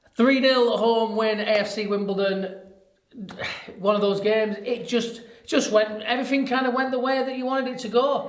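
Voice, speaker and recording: As a man talks, audible room echo mixes with noticeable background noise. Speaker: football podcast host. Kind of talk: casual chat.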